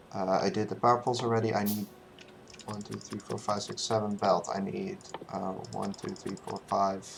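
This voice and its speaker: The voice is quiet and moves at a moderate pace. Noticeable background noise runs underneath. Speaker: speedrunner streaming a game run. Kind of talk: live gameplay commentary. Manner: halting, many fillers and counting aloud.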